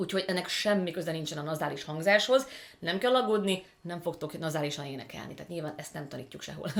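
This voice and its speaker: Over noticeable background noise, a woman with a fairly low pitch speaks very fast, with lively intonation and big swings in loudness. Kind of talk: voice teacher explaining technique.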